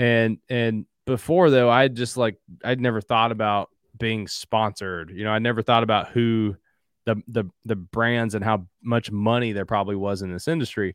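A man speaks at a moderate pace with fairly even intonation. The sound is dry and close, with no echo, against a quiet background. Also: medium pitch for a man. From Southeastern Kentucky, Appalachia. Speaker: hunting app founder and CEO. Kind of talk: casual interview chat.

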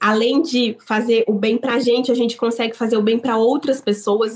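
A woman's fairly high voice with ordinary pitch variation, a normal speaking voice. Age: 30s. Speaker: business owner. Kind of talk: interview.

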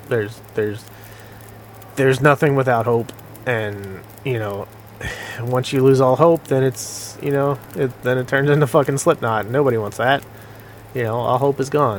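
A man's medium-pitched voice at a moderate pace, fairly even in intonation, with long, frequent pauses and noticeable background noise. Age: 40s. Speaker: gaming streamer. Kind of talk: casual gameplay commentary. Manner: casual, filler-heavy and profane.

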